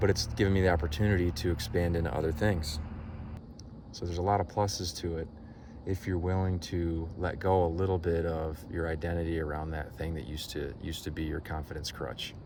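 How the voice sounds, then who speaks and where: A man's voice is very deep and low, with monotone, flat intonation at a fairly quick pace. Room echo is audible. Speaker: life coach. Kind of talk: vlog monologue.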